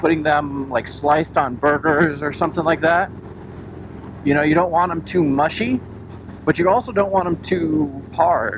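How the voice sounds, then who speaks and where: A man speaks at a moderate pace with a fairly high pitch and ordinary pitch variation. Noticeable background noise is present. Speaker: motorcycle vlogger. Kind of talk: casual vlog narration while riding.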